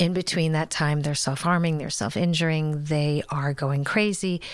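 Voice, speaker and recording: A woman speaks in a very deep, low pitch. Her intonation stays fairly even. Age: 50s. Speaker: writer and adoptive mother. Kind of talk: interview. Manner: hesitant, many fillers.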